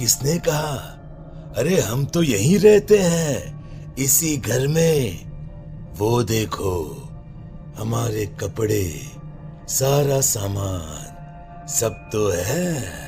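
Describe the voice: Over clear background music, a man does a cartoonish character voice at a medium pitch and a very slow pace.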